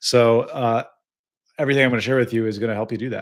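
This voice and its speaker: A man's medium-pitched voice with an American accent and monotone, flat intonation, in a very clean recording with a silent background. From US Midwest, Illinois. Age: 30s. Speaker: business coach, vibe-coding creator. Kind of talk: livestream talk. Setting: live stream. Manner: casual, many fillers.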